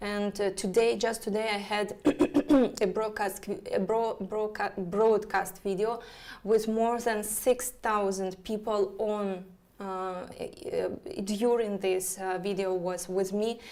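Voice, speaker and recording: Speaking with a Russian accent, a woman uses a medium pitch. Her intonation is monotone and flat, and her pace very slow. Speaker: astrologer. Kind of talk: live stream chat. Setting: live online broadcast. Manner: halting, many fillers.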